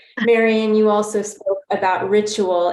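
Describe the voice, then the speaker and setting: A woman with a medium pitch is heard over noticeable background noise. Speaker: trauma support program leader. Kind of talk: webinar panel discussion.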